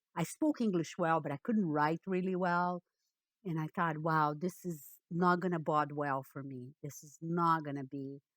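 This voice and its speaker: A woman with a Portuguese accent and a fairly low pitch speaks at a moderate pace, with ordinary pitch variation and big swings in loudness, in a very clean recording with a silent background. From Brazil, Rio de Janeiro. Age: 60s. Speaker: economist and data visualisation consultant. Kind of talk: interview.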